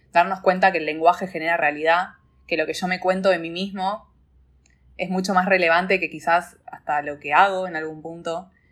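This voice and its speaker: Fairly quick in pace, a woman speaks with fairly even intonation. Her pitch is fairly low. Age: 20s. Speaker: life coach. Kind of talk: interview conversation.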